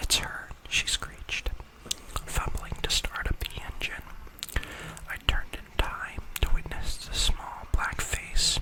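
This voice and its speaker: Someone whispers at a very slow pace. Noticeable background noise can be heard behind the voice. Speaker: ASMR creator. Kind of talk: ASMR creepypasta reading. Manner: soft-spoken, whispery, quiet.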